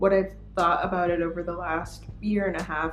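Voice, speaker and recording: Music plays in the background. Over it, a woman talks at a fairly quick pace. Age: 20s. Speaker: YouTuber. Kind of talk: casual vlog talk.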